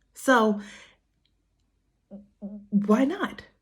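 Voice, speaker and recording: Her voice is fairly high and somewhat breathy, with an American accent. The woman speaks at a very slow pace. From Harlem, New York. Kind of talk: casual talk to camera. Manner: casual, chatty.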